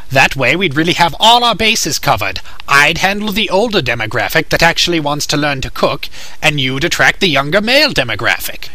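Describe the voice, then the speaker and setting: A man puts on a character voice, fairly high-pitched and at a fairly quick pace. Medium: dub. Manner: eager, persuasive.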